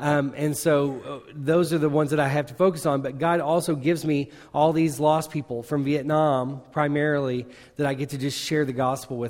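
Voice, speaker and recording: In a Southern US accent, a man with a fairly high pitch talks at a fairly quick pace with fairly even intonation, captured in a very clean recording over a silent background. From Arkansas, small town. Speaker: missionary. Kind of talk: sermon. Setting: church with congregation.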